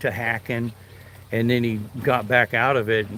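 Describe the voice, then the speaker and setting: A man speaks at a moderate pace and medium pitch in a normal speaking voice. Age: 60s. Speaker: retired fishing livestreamer, navy veteran. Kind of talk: casual live stream chat while fishing.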